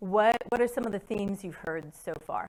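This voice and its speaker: Animated in tone, a woman talks at a moderate pace with lively intonation. The recording is very clean, with a silent background. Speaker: conference speaker and customer success coach. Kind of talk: interactive conference talk. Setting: stage with audience. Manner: loud.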